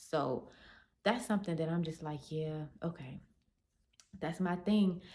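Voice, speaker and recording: This is a woman's voice. Her tone is dark and mellow. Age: 20s. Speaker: beauty and self-care vlogger. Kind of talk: casual monologue to camera. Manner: chill, laid-back.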